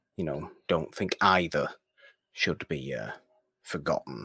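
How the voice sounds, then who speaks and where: Speaking at a very slow pace, a man has a bright, sharp tone with vocal fry. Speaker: podcast co-host. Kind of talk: casual chat and film review. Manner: smooth.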